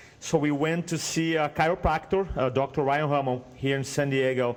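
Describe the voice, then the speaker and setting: A man speaks at a fairly high pitch with a slight Brazilian accent. His pitch variation is ordinary. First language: Portuguese. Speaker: speaking coach. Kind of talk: podcast interview, personal story. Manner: animated storytelling.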